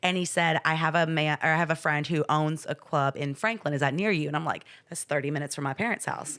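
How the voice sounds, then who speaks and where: A woman with a very deep, low pitch talks at a very fast pace in an American accent. Her delivery is animated, with hardly any pauses. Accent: Southern twang, comes out in casual talk. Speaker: fitness trainer and podcast host. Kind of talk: casual chat.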